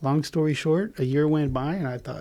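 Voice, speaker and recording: At a fairly quick pace, a man with a fairly high pitch and a dark, mellow tone keeps his intonation fairly even. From Israel, moved to Southern California at eight. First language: Hebrew. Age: 40s. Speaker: podcast guest, stepfather. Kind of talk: casual interview chat.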